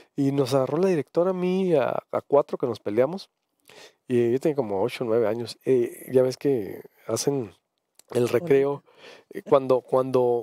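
The voice has a dark, mellow tone and ordinary pitch variation at a fairly slow pace with long, frequent pauses. The sound is dry with no echo over a quiet background. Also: man. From Sonora, Mexico (grew up in Cananea); Sonora, Mexico. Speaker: radio/TV talk show host; radio, TV talk show host. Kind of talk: live talk show, reading viewer comments. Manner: halting, frequent repetitions. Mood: conversational, anecdotal. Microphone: headset.

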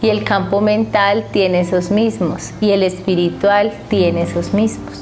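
A woman talks fairly slowly. Clear music sounds behind her. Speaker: spiritual teacher. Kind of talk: spiritual teaching talk. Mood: calm, warm. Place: home room. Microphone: lapel.

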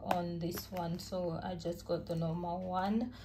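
A woman's fairly low, slow voice over clear background noise.

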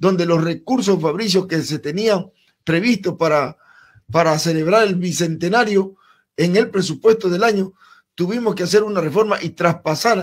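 A man's high voice at a moderate pace, with ordinary pitch variation over a quiet background. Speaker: interview guest. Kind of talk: interview answer. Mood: calm, formal account. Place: studio. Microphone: studio mic.

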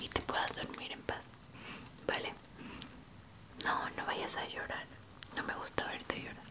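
Loud background noise surrounds a woman speaking at a fairly slow pace. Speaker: ASMR creator in caregiver roleplay. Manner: soft, gentle, soothing near-whisper. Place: home room.

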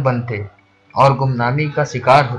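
Music plays in the background. A man speaks over it with ordinary pitch variation. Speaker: poet. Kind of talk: poetry reading.

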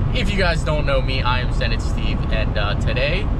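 Loud background noise surrounds a man's voice. The sound is dry with no echo. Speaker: car vlogger. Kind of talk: casual vlog chat. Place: car. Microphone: phone near.

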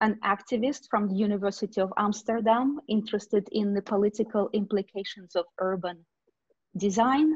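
A woman with a Russian accent speaks at a moderate pace and fairly high pitch, somewhat breathy, against a quiet background. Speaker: discussion moderator, academic; discussion moderator. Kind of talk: moderating an online panel discussion. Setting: video call webinar. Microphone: video call.

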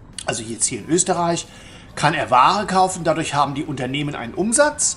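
Lively intonation comes at a fairly quick pace, with big swings in loudness. Light background noise is present. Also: man. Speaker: travel vlogger. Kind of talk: casual vlog commentary. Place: hall. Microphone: phone near.

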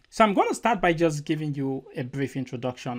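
A fairly quick pace from a man, quiet background behind him. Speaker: presenter. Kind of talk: lecture. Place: home room.

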